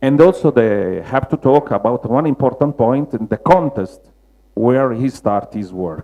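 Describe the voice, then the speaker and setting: With a Roman accent, a man speaks at a medium pitch and moderate pace. His intonation is lively. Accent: Roman Italian. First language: Italian. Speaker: mosaic restorer. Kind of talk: lecture. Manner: halting, many fillers.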